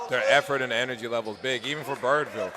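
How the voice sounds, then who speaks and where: A man talks over noticeable background noise. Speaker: color commentator, former basketball player. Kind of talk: live commentary. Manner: loud.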